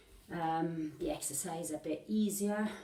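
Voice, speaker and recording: Fairly low pitch from a woman, with fairly even intonation and audible room echo. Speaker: fitness instructor. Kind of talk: workout instruction. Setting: home workout video. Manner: mumbling.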